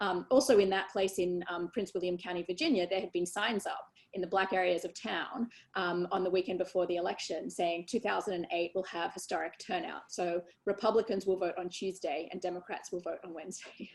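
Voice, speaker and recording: Using a fairly even intonation, a woman with an Australian accent and a medium pitch talks at a fairly quick pace. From Australia, Sydney. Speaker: election lawyer. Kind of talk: interview. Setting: video call webinar. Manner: many fillers and hesitations.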